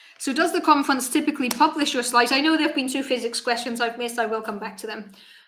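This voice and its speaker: This woman's voice shows ordinary pitch variation. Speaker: cosmologist streamer. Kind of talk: live stream Q&A. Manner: casual, halting.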